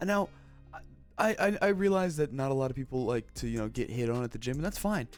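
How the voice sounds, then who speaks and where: Music is heard in the background. Over it, a man speaks at a fairly quick pace, his pitch swinging very widely. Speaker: gaming/commentary youtuber reacting to clips. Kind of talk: casual reaction commentary. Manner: casual, halting with fillers.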